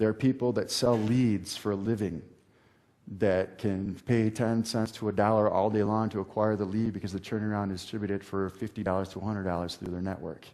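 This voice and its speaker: A man speaks at a fairly quick pace in a fairly low pitch. His tone is dark and mellow. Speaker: internet marketing seminar speaker. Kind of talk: seminar talk to a live audience. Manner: fast; animated.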